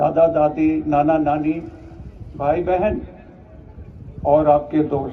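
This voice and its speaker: Audible room echo on a man's voice, plus noticeable noise in the background. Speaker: retired army officer, chief guest. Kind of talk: ceremonial speech.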